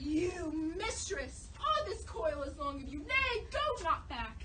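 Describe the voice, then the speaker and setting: A woman's put-on character voice over loud background noise. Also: fairly slow pace. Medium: stage play. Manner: fiery, indignant.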